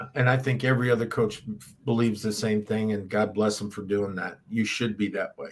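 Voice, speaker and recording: At a fairly quick pace, a man talks in a plain, everyday voice, fairly low in pitch, with fairly even intonation. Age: 60s. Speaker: football head coach. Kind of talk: interview.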